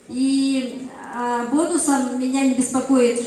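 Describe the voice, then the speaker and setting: Audible room echo and noticeable background noise are present. The delivery is monotone, with flat intonation. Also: woman. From Yakutia, Russia. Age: 60s. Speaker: doctor. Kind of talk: testimony. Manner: halting.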